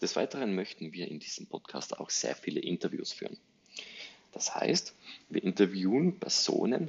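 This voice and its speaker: A man speaks at a moderate pace. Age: 30s. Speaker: podcast host, digital agency owner. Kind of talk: solo podcast introduction monologue.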